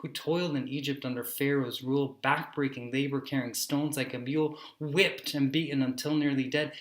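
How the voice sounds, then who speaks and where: A man's fairly high voice at a fairly quick pace, flat and monotone in intonation. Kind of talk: spoken word poetry.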